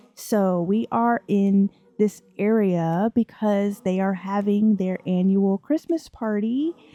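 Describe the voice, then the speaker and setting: Ordinary pitch variation in a dry, close sound with no echo, with music in the background. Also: woman. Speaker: gaming YouTuber. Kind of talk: let's play narration. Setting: home at night. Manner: casual, filler-heavy.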